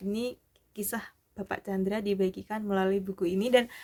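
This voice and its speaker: Fairly even intonation and a moderate pace from a woman, medium in pitch. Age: 40s. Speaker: vlogger, community member. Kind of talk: casual vlog sharing. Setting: at night.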